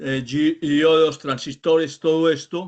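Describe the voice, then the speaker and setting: A man's fairly high voice moves along at a fairly slow pace. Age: 60s. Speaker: course student, veteran car mechanic. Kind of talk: comment in an online class. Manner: hesitant, many fillers.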